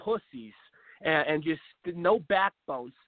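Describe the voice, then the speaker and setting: Speaking slowly-ish with lively intonation, a man uses an American accent. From US Pacific Northwest, Seattle. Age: 20s. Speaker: political talk show host. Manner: animated, rambling.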